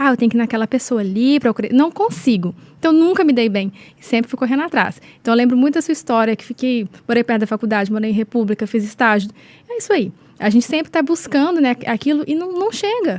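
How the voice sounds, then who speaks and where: A high-pitched woman in a Minas Gerais accent, very fast and with lively intonation. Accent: mineiro. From Minas Gerais, Brazil. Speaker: podcast host, affiliate marketer. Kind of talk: casual chat.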